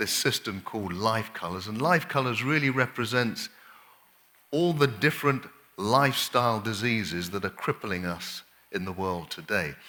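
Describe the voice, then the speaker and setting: A man with an English accent speaks at medium pitch and a moderate pace. His tone is bright and sharp, his intonation lively. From England. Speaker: doctor, lifestyle medicine speaker. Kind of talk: health workshop lecture. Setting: camp meeting audience.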